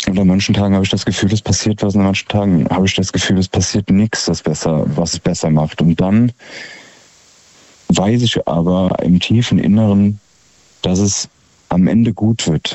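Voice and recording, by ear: A man speaks at a moderate pace with a low pitch and a slightly mellow tone. His intonation stays fairly even.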